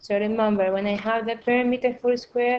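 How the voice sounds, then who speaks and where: A woman speaks at a fairly high pitch. It is an unremarkable speaking voice. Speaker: primary school teacher. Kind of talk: recorded math lesson.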